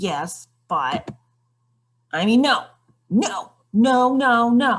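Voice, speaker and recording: Speaking very slowly in a put-on character voice, a woman sounds grumpy, her pitch fairly high. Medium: read story. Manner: curt, grumpy.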